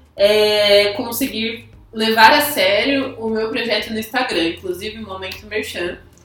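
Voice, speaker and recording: A woman with a fairly high voice talks at a fairly slow pace with ordinary pitch variation and big swings in loudness, amid audible room echo and noticeable background noise. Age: 20s. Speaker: podcast co-host. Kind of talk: casual chat.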